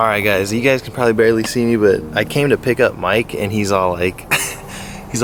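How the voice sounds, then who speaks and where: Noticeable background noise sits behind a man speaking at a fairly quick pace and a fairly low pitch. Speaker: fishing vlogger. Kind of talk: casual vlog. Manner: mumbling.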